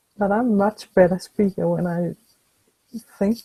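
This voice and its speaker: In a dry, close sound with no echo, a woman speaks at a medium pitch with ordinary pitch variation and a dark, mellow, somewhat breathy tone. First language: not English. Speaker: webinar co-host. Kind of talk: webinar discussion. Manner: slow; halting.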